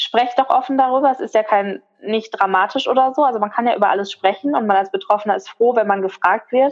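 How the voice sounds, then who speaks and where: A woman talks at a very fast pace. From Ruhr area, Germany. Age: 20s. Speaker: migraine patient sharing her story. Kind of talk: interview.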